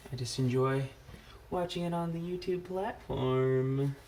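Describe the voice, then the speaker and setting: A man's fairly high voice, with ordinary pitch variation, comes through noticeable background noise. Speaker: parent drawing tutorial host. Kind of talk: casual drawing tutorial chat. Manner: casual, hesitant with fillers.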